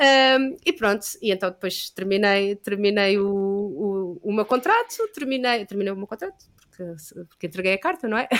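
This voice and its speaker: A woman's medium-pitched voice at a moderate pace. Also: ordinary pitch variation. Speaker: yoga teacher. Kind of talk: casual chat. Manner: halting.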